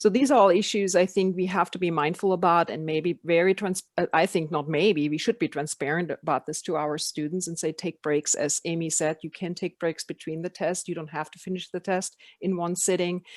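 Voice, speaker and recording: A woman with a non-native accent and fairly low pitch speaks at a fairly quick pace with hardly any pauses, fairly even intonation and big swings in loudness. The background is quiet and the sound is dry and close with no echo. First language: not English. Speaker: education program facilitator. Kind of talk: online meeting discussion.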